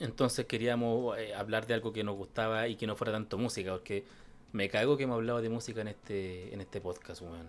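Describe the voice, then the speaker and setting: With a Chilean accent, a man speaks at a medium pitch with fairly even intonation. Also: fairly quick pace, very clean recording, silent background. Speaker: podcast host. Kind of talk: casual chat.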